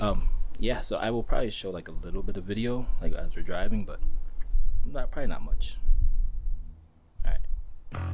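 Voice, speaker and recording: A man speaks at a moderate pace, with long, frequent pauses. Music plays in the background. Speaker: vlogger. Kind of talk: casual vlog chat. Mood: relaxed, accepting of delays. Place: street. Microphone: phone near.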